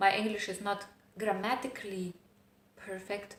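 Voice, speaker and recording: A woman's medium-pitched, monotone, flat delivery at a moderate pace, with audible room echo. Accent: non-native. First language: not English. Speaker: self-help vlogger. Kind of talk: personal vlog monologue. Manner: hesitant, with fillers.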